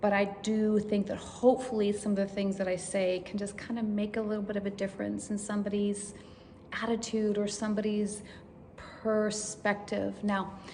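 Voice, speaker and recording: A woman's medium-pitched, monotone voice at a moderate pace, with flat intonation, audible room echo and noticeable background noise. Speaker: vlogger sharing brain tumor recovery. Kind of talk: personal testimony. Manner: halting, many fillers.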